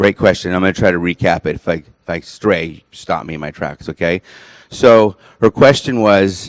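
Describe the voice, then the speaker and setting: A man talks in a very deep, low voice with ordinary pitch variation. The sound is dry and close, with no echo. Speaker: presenter on nutrition supplements. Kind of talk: lecture. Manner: fast.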